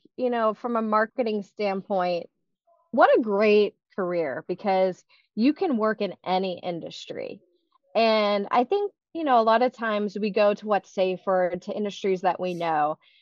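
Her voice is an unremarkable speaking voice, fairly high in pitch, with an American accent. The woman talks at a fairly slow pace with lively intonation. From Pittsburgh area, western Pennsylvania. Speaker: marketing executive. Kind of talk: casual interview.

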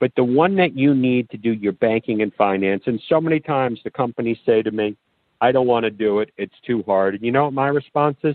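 A man with an American accent and an unremarkable speaking voice at a fairly quick pace, medium in pitch with ordinary pitch variation. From New York City, Brooklyn. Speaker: FBI special agent. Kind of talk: interview.

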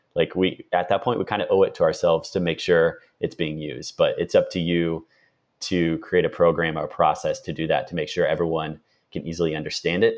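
A man with a slight Midwestern accent talks at a fairly quick pace. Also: quiet background. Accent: slight rural Midwestern. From rural Indiana. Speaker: marketer. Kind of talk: podcast interview.

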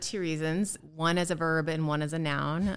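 A woman talks in an American accent. Her pitch is very deep and low. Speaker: startup founder and CEO. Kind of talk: interview. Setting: studio.

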